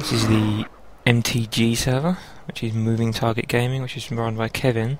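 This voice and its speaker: Over noticeable background noise, a man mumbles at a moderate pace, his medium-pitched voice held to fairly even intonation. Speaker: gamer, let's play commentator. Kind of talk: casual gameplay commentary. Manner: shy, somewhat mumbling.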